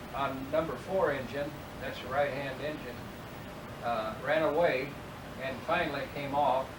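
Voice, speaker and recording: Noticeable background noise sits behind a man speaking at a fairly high pitch with fairly even intonation. He moves at a fairly slow pace with long, frequent pauses. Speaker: World War II veteran and former prisoner of war. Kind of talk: interview answer. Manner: hesitant, halting.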